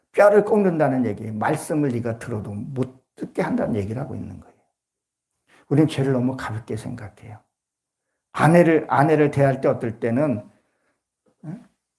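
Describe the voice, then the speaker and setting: With a dark, mellow tone and somewhat breathy delivery, a man speaks at a medium pitch and moderate pace, his intonation lively. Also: long, frequent pauses. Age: 60s. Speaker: pastor. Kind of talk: sermon.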